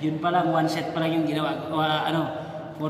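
A man speaks in a monotone, flat intonation, with light background noise and audible room echo. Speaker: fitness vlogger. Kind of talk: casual vlog chat. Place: gym. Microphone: phone near.

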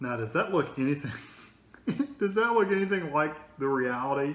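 A man speaks at a very fast pace. The room echo is audible. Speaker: food reviewer. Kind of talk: casual review chat. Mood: amused, skeptical. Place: home room. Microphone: phone near.

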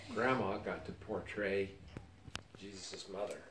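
With audible room echo and light background noise, a man with a fairly low pitch speaks at a moderate pace. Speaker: retired church missionary. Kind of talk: family interview answer. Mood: reflective, sentimental. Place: home room. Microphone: camera far.

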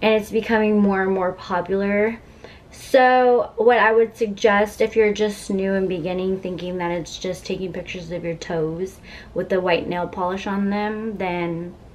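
There is light background noise behind a woman's voice. She talks at a moderate pace with fairly even intonation. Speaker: vlogger. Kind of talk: casual vlog chat. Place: home room. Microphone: camera far.

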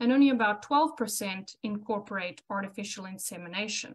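A woman talks with a South African accent. Her pitch moves up and down an ordinary amount. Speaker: cattle reproduction specialist. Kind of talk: educational webinar presentation. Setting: video call.

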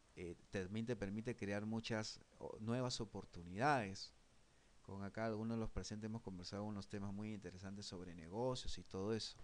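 A man's voice at fairly low pitch, with moderate pace and ordinary pitch variation. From Peru. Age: 40s. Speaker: online course instructor. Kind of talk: online class lecture. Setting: live online broadcast. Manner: halting, frequent repetitions and fillers. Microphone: webcam.

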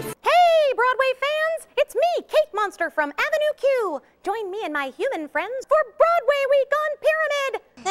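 In a cartoonish character voice, a woman speaks at an extremely high pitch and a moderate pace. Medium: puppet show. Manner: upbeat, friendly.

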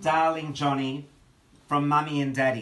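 A man speaks with fairly even intonation and a bright, sharp tone, with audible room echo. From Melbourne, Australia. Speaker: author, giving a eulogy for his brother. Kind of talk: eulogy delivered at a memorial gathering. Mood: tender, grieving, nostalgic. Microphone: phone near.

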